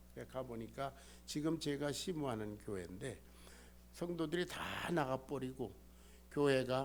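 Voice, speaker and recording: A man speaks at a very slow pace, with audible room echo around him. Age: 70s. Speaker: pastor. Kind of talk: sermon.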